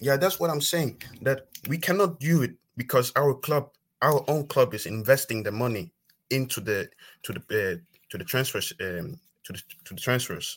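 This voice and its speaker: A man of medium pitch speaks with a non-native accent, lively intonation and vocal fry. His moderate pace is broken by long, frequent pauses, and his loudness swings widely. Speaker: football fan caller. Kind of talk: call-in football debate. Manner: halting.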